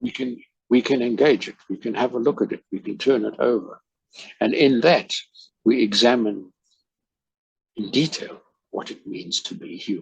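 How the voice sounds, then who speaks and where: A man with a South African accent at a moderate pace, with big swings in loudness and long, frequent pauses. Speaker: life coach. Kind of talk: casual chat.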